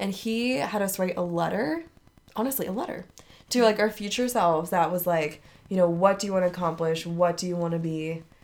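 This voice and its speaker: At a fairly quick pace, a woman talks with an unremarkable speaking voice and ordinary pitch variation. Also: medium pitch for a woman. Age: 20s. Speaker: book club podcast co-host. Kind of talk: casual chat. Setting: recording together in the same room.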